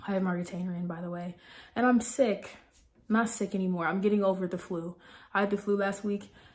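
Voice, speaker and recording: Somewhat breathy, a woman talks at a fairly quick pace in a medium pitch. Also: fairly even intonation. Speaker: vlogger and correctional officer. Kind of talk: casual chat. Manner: hesitant with fillers.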